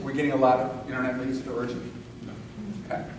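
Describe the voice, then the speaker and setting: A man at a medium pitch is heard with audible room echo and noticeable background noise. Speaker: real estate coach and seminar speaker. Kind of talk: live seminar talk. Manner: animated.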